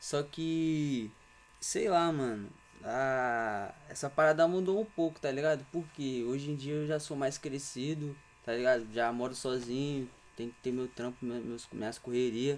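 With a plain, everyday voice, a man speaks at a fairly slow pace and fairly high pitch, with ordinary pitch variation. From Serra, Espírito Santo, Brazil. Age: 20s. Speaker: street artist. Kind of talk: casual chat.

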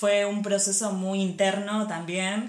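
A woman with an Argentine accent speaks at a medium pitch and a fairly slow pace. The room echo is audible, and there is noticeable background noise. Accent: Argentine Spanish (Rioplatense). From Argentina. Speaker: industrial designer and corporate image consultant. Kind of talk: casual interview.

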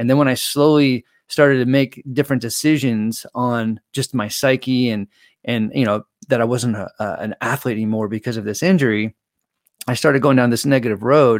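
With an ordinary speaking voice, a man of medium pitch talks with fairly even intonation in a dry, close sound with no echo. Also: moderate pace. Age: 40s. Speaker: mental performance coach. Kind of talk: casual interview. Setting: video call.

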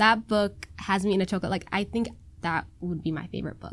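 A woman with a Minnesota accent, medium in pitch, at a fairly slow pace on a very clean recording with a silent background. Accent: Minnesotan American English. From US Midwest, Minnesota. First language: Somali. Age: 20s. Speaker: college student. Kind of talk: casual chat.

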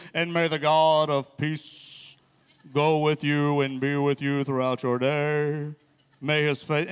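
Using a put-on character voice, a man talks at a fairly slow pace in a fairly high pitch with monotone, flat intonation. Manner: solemn, reverent.

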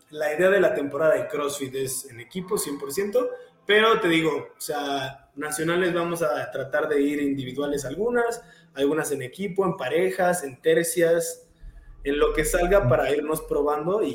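Amid noticeable background noise, a man with a fairly high pitch speaks with lively intonation and big swings in loudness. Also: moderate pace. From Mexico, Querétaro. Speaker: CrossFit athlete. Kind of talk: casual interview.

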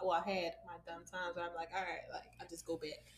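Noticeable background noise can be heard. The talking goes at a fairly quick pace. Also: woman. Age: 20s. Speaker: podcast co-host. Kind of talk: casual chat. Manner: animated.

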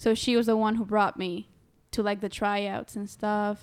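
A woman with a Spanish accent and a fairly high pitch, on a very clean recording with a silent background. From Honduras. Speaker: college student and volleyball player. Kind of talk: casual chat.

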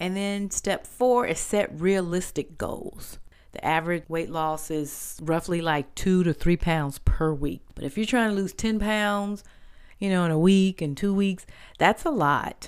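The recording is very clean with a silent background. A woman with an ordinary speaking voice talks fairly slowly at medium pitch, with ordinary pitch variation. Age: 50s. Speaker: podcast host, wellness segment. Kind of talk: health tips talk.

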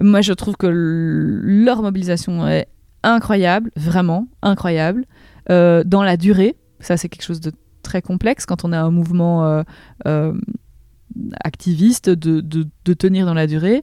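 Pausing long and often at a very slow pace, a woman speaks in a dark, mellow tone at a fairly low pitch with ordinary pitch variation. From Belgium, province of Namur. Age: 30s. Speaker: politician. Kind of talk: interview. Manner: halting, many repetitions.

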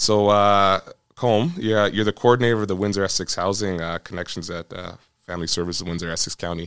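A man with an unremarkable speaking voice and a Canadian accent, fairly low in pitch, fairly even in intonation and fairly quick in pace, on a very clean recording with a silent background. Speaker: police officer podcast host. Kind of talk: casual interview conversation.

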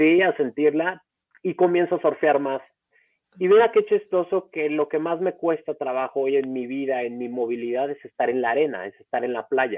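At a moderate pace, a man uses a normal speaking voice. His pitch is fairly high, with ordinary variation. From Mexico, Acapulco. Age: 30s. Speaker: foundation founder, surfer with spinal cord injury. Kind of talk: interview, personal story. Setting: live-streamed podcast recording.

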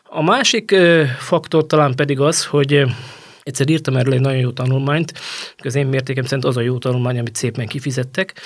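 Here a man talks at a very fast pace. His voice sits at a medium pitch. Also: ordinary pitch variation. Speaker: journalist, former football federation women's football head. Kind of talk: interview conversation.

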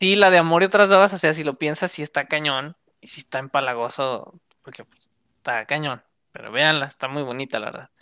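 Recorded very cleanly against a silent background, with a dry, close sound and no echo, a woman speaks at a fairly quick pace in a very deep, low voice, her tone bright and sharp and her loudness swinging widely. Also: ordinary pitch variation. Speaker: podcast co-host. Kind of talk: casual chat. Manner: animated.

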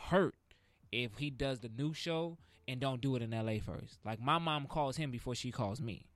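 Moderate pace, medium pitch and ordinary pitch variation from a man with a plain, everyday voice. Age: 20s. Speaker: mime artist and preacher. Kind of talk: casual podcast interview. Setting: studio.

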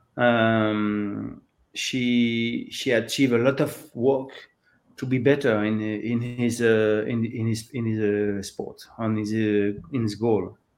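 The speaker talks very slowly in a French accent, with monotone, flat intonation. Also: man, medium pitch for a man. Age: 50s. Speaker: open water swimming coach. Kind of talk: interview. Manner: halting.

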